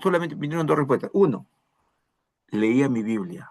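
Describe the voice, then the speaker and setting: The man's intonation is lively. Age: 60s. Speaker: pastor. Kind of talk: sermon.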